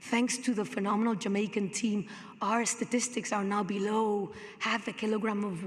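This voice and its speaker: A woman talks at a moderate pace in a medium pitch, with ordinary pitch variation. Noticeable background noise and audible room echo are present. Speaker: hotel company sustainability executive. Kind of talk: conference presentation.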